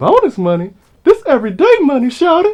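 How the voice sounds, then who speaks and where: Delivered at a fairly quick pace, this put-on character voice sounds confident and swings very widely in pitch. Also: man, extremely high pitch for a man. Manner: sassy, confident.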